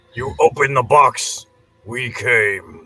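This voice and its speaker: A man performs a put-on character voice at medium pitch. The sound is raspy. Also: fairly slow pace. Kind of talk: ominous, deliberate. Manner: menacing.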